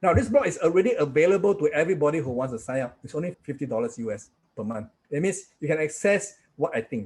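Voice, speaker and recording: Fairly high for a man and fairly quick, this unremarkable speaking voice has lively intonation. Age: 60s. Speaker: trading instructor. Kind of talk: sales pitch.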